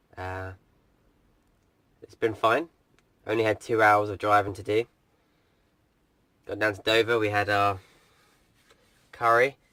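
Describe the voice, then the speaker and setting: A man with a fairly low pitch and a bright, sharp tone speaks at a fairly slow pace in a monotone, flat intonation, with big swings in loudness and long, frequent pauses. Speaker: van life vlogger. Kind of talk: casual video diary. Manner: quieter, keeping voice down.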